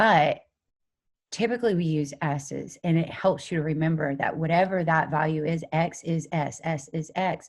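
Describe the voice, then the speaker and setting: The recording is very clean, with a silent background. A woman with a very deep, low voice speaks fairly slowly and with fairly even intonation. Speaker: chemistry teacher. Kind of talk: lecture.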